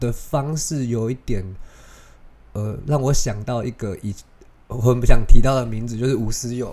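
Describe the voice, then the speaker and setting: In a dark, mellow tone, a man speaks at a moderate pace with a medium pitch and fairly even intonation, leaving long, frequent pauses while his loudness swings widely. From Taiwan. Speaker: podcast host. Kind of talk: casual solo podcast talk.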